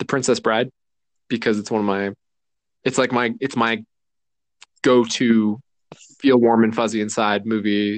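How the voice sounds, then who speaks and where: The voice belongs to a man. It falls at a medium pitch. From US Southwest, Mexican-American. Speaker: podcast co-host. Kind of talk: casual chat. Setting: remote recording from home.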